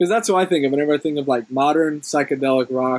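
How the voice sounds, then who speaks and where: A man's fairly high voice with ordinary pitch variation, the sound dry and close with no echo. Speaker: podcast host. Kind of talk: casual interview. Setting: outdoors.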